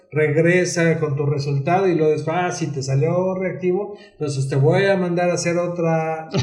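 A man with a high voice speaks in a flat monotone at a fairly slow pace, with hardly any pauses, over noticeable background noise and audible room echo. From Mexico, San Luis Potosí. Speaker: psychologist and LGBT rights activist. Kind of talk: interview, casual chat.

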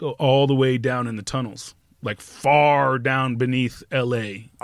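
Using an unremarkable speaking voice, a man keeps his intonation fairly even. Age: 50s. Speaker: graffiti artist. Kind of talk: casual chat.

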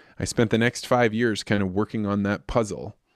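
A man with an American accent speaks in an ordinary speaking voice, fairly low in pitch with ordinary pitch variation. The recording is very clean, with a silent background and a dry, close sound with no echo. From central Illinois, US Midwest. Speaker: agricultural communications consultant. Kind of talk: interview.

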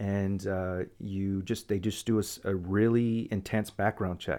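In a very clean recording with a silent background, a man uses a normal speaking voice with a fairly low pitch and fairly even intonation. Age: 30s. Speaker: podcast host. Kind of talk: casual chat.

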